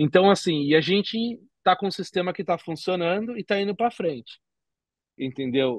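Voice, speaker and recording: Against a quiet background, a man speaks at a moderate pace with lively intonation, and the sound is dry with no echo. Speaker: bitcoin entrepreneur; podcast guest. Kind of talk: casual interview. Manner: halting, many fillers. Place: home room. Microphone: video call.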